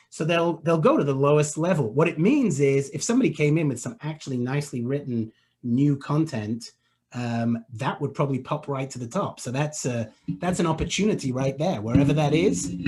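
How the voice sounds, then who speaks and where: Against a quiet background, a man with a fairly high pitch and a somewhat breathy voice talks at a fairly quick pace with ordinary pitch variation. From England. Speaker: web marketing expert. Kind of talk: webinar Q&A.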